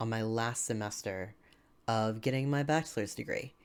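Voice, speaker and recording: Speaking with an American accent, a man talks at a medium pitch. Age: 20s. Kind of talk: casual vlog update. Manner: hesitant, many fillers. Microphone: new microphone.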